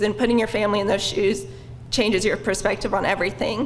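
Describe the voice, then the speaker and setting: With an American accent, a woman talks at a fairly quick pace and a fairly high pitch, her intonation fairly even. Noticeable background noise and audible room echo surround her. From Oklahoma, Stilwell. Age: 20s. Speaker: bike ride participant. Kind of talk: personal testimony at a public lecture.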